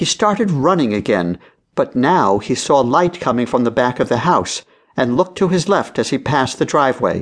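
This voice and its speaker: A man speaks at a fairly high pitch with very wide pitch swings. His loudness stays very even against a quiet background. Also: moderate pace. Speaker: audiobook narrator. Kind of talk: dramatic audiobook narration of a children's mystery. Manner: suspenseful, hushed and building tension.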